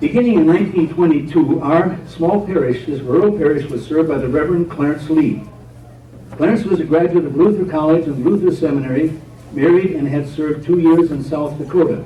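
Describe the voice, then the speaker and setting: Fairly high-pitched man at a fairly quick pace, ordinary pitch variation, noticeable background noise. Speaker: retired pastor and storyteller giving a historical talk. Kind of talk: church history talk. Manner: storytelling, measured.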